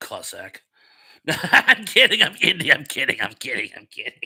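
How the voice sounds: A man talks at a medium pitch and moderate pace, with a bright, sharp tone and very wide pitch swings. Vocal fry and a husky, rough edge run through his voice.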